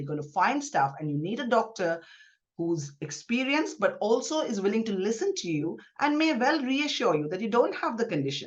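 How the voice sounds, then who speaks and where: A woman's voice at a fairly quick pace, with very wide pitch swings. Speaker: gynaecologist. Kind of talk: podcast interview. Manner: fast.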